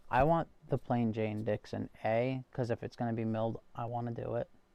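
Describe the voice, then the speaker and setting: A man at medium pitch in a Massachusetts accent, dark and mellow in tone, moderate in pace, with monotone, flat intonation. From Massachusetts, US. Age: 21 or older. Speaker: knife collector and livestream host. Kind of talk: casual livestream chat reading viewer comments. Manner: hesitant, many fillers and repeats.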